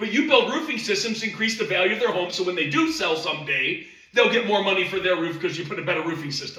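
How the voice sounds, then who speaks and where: A man speaks at a fairly quick pace in a high, raised, projected voice with lively intonation and an animated tone. Room echo is audible. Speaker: sales trainer. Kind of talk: sales training presentation.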